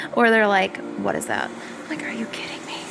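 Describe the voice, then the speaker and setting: A woman with an American accent, music in the background and audible room echo. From US South. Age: 20s. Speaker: vlogger. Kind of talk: casual vlog monologue. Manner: hesitant with many fillers.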